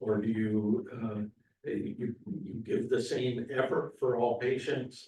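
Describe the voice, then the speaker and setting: A man speaks very slowly at a medium pitch. His tone is dark and mellow, and somewhat breathy. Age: 70s. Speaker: board member. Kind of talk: public board meeting discussion. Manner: halting, many fillers.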